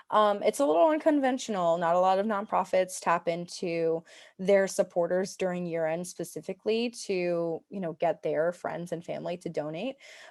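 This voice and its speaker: In a normal speaking voice, a woman with a fairly low pitch and ordinary pitch variation talks with hardly any pauses. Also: moderate pace. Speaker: webinar presenter. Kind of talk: webinar presentation. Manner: many filler words.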